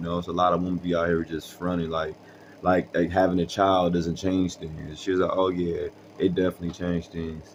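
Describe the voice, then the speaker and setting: A man with a very deep, low voice talks at a fairly quick pace in a monotone, flat intonation. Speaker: storytelling vlogger. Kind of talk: casual storytelling monologue. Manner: casual, halting with fillers.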